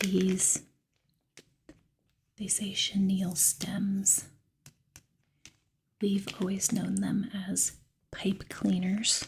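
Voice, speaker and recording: Very slow, soft-spoken talk broken by long, frequent pauses. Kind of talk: ASMR soft-spoken crafting talk.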